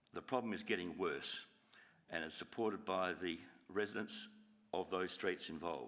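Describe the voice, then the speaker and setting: A man with an Australian accent at a moderate pace, with long, frequent pauses. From Australia, Adelaide (Burnside, South Australia). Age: 70s. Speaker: resident addressing council. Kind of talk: public address to council meeting. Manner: halting.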